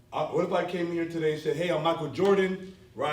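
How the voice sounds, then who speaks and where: A man with a fairly high pitch and ordinary pitch variation talks in a room where echo is audible. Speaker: business speaker. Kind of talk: conference talk to a live audience. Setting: stage with audience. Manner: animated.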